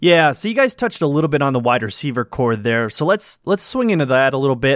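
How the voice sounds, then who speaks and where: A man with a fairly high pitch talks at a fairly quick pace in an ordinary speaking voice. The recording is very clean, with a silent background. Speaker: former podcast host. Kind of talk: casual chat.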